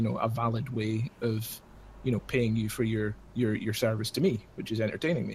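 Somewhat breathy, a man of medium pitch speaks with fairly even intonation. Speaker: Twitch moderator. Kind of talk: casual chat. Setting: video call.

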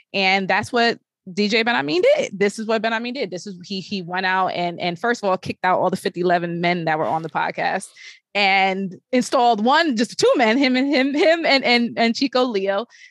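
An ordinary speaking voice from a woman with an American accent, medium in pitch, with lively intonation at a moderate pace against a quiet background. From Brooklyn, New York. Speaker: podcast host and tech journalist. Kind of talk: casual chat.

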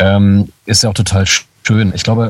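A man's fairly low-pitched, somewhat breathy voice. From Lower Saxony, Germany (Braunschweig). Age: 30s. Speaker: voice actor. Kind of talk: casual chat.

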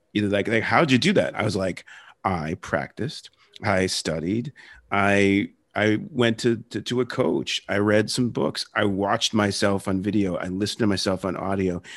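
An ordinary speaking voice from a man with an American accent, fairly low pitch, ordinary pitch variation, a moderate pace and a quiet background. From Philadelphia area and South Jersey. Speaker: podcast host. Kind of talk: interview.

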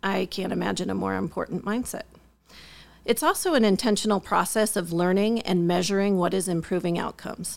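An unremarkable speaking voice from a woman, medium in pitch with ordinary pitch variation, at a fairly quick pace. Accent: American. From US Midwest. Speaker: school district administrator. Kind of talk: interview.

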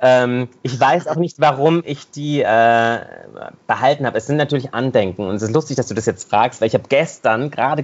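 A man with a plain, everyday voice speaks at a fairly quick pace and a medium pitch. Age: 40s. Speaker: singer, dancer and actor. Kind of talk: interview. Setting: video call.

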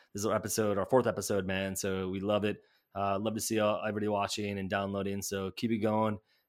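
On a very clean recording with a silent background, a man with an American accent talks at a very fast pace in a fairly low pitch. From US Midwest, Chicago area. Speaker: fantasy football podcast host. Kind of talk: casual sports chat.

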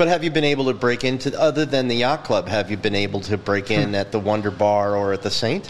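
A man with a medium-pitched voice talks at a very fast pace with ordinary pitch variation over noticeable background noise. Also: hardly any pauses. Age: 50s. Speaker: podcast host. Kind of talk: casual interview. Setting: studio.

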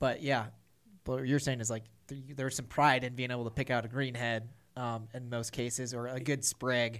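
With an American accent, a man speaks at a fairly quick pace and a medium pitch. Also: very clean recording, silent background. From US Midwest, Missouri. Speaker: firearms company staff, waterfowl hunter. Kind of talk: casual chat. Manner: animated.

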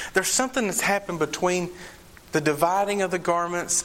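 A man keeps a moderate pace as noticeable background noise plays around him. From Eastern Kentucky, Appalachia. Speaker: preacher. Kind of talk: sermon from the pulpit, expository preaching on John 19 with call-and-response. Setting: church. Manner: conversational, mixes humor and asides with solemn emphasis.

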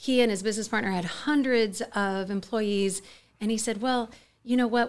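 Speaking at a fairly quick pace with a Californian accent, a woman shows ordinary pitch variation on a very clean recording with a silent background. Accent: General American, Californian. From US West, Mojave Desert, California. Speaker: charity co-founder and CEO. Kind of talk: interview.

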